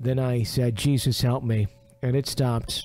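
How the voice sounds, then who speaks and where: Using a normal speaking voice, a man talks at a fairly slow pace and a medium pitch. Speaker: radio show host. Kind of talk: reading a listener's ghost story aloud.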